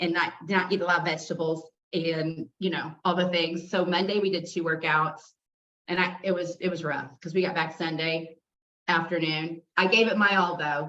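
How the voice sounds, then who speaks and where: A woman speaks loudly at a moderate pace. Her tone is bright and sharp. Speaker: fitness instructor. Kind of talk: casual chat.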